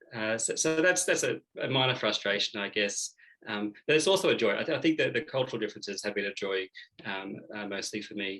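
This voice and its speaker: A man with an Australian accent, medium in pitch, at a very fast pace, with lively intonation and a bright, sharp tone. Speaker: Jesuit seminarian. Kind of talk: interview. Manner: hesitant, many fillers.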